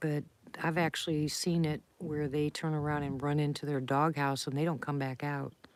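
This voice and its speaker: A woman with an American accent speaks at a very deep, low pitch in monotone, flat intonation at a moderate pace, on a very clean recording with a silent background. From Ohio. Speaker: livestreamer. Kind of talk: casual chat.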